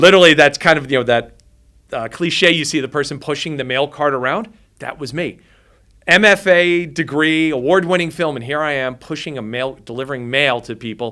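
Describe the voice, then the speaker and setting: Speaking with a New Jersey accent, a man sounds animated, his tone bright and sharp and his pitch fairly high. He talks at a fairly quick pace in a very clean recording with a silent background. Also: ordinary pitch variation. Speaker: filmmaker. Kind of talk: interview storytelling.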